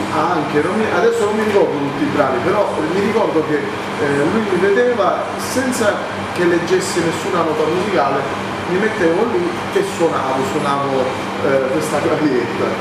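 A man keeps a moderate tempo while loud background noise and audible room echo fill the recording. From Italy, Cassino (southern Lazio). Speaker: singer and musical performer. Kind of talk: interview. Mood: relaxed, cheerful. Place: home room.

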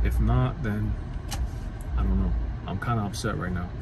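A man talks at a fairly quick pace over noticeable background noise, with a dry sound and no echo. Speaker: vlogger. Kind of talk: casual vlog chat. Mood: annoyed, venting. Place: car. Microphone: phone near.

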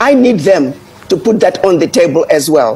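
A woman at a moderate pace, with very wide pitch swings. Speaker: news guest commentator. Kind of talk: interview answer. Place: home room. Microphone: earbuds.

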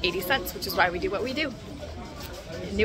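Crowd noise can be heard in the background while a woman speaks. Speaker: travel vlogger. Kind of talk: casual vlog chat. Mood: upbeat, enthusiastic. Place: street. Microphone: phone near.

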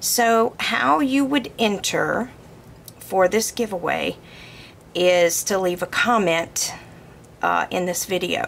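A woman with a Southern US accent speaks at a very slow pace, with long, frequent pauses. Her medium-pitched voice has lively intonation over light background noise. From US South. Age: 40s. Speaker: bow-making crafter. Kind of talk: tutorial. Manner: casual, many fillers.

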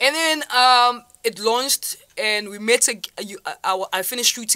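Her tone is bright and sharp, and the woman's pitch varies in an ordinary way. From South Africa, Vaal; South Africa. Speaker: online entrepreneur; interview guest. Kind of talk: interview. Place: studio. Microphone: studio mic.

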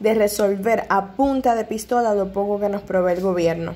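A woman speaks in a normal speaking voice at a moderate pace. Her pitch is medium, with ordinary pitch variation. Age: 20s. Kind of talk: vlog voice-over narration.

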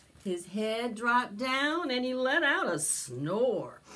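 A woman talks slowly in a fairly high pitch with big pitch swings. Her tone is bright and sharp, and the room echo is audible.

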